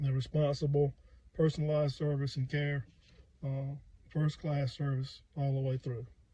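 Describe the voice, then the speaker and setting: A somewhat breathy, dark, mellow voice at a moderate pace, in a monotone, flat intonation. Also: man. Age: 60s. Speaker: firefighter. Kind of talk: customer testimonial. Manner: casual, hesitant.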